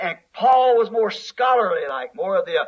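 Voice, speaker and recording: A man's extremely high-pitched, raised and projected voice, bright and sharp in tone, with monotone, flat intonation. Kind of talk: sermon preached to a congregation.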